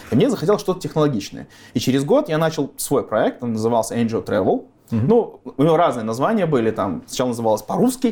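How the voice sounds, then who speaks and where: A man talks at a very fast pace with a fairly high pitch. His voice swings very widely in pitch. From Belarus (Gomel). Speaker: drone engineer and company founder. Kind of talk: interview.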